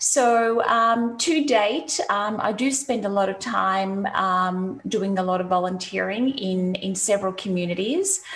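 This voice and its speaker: A woman with an Australian accent speaks at a very slow pace with hardly any pauses. Her pitch is medium, with ordinary variation. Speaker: CX consultant. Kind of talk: interview. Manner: halting, many fillers.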